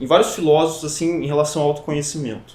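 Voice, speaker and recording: This man speaks at a fairly high pitch. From Brazil, São Paulo state (Avaré). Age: 20s. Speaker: psychology student. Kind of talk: podcast interview. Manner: hesitant, many fillers.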